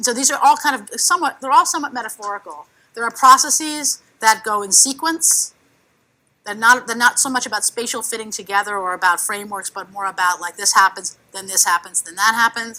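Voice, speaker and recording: A woman's fairly high, bright and sharp voice with a New York accent, fairly quick and animated, with lively intonation, big swings in loudness, and a very clean recording over a silent background. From New York City. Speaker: cartoonist and workshop facilitator. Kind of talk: workshop presentation. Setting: conference workshop with audience. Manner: fast.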